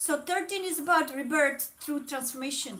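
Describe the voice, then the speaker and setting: A woman speaks with a slight non-native accent. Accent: slightly non-native English. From Czech Republic. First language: Czech. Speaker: tarot reader. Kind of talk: live stream chat. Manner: hesitant, with many fillers.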